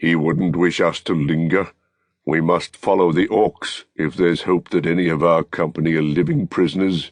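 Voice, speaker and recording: Using a put-on character voice, a man speaks at a moderate pace in a very deep, low pitch. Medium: read story. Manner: blunt, urgent.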